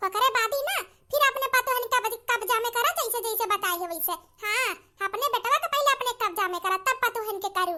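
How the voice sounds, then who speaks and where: In a cartoonish character voice pitched extremely high, a woman talks at a fairly quick pace. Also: ordinary pitch variation. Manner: conspiratorial, persuasive.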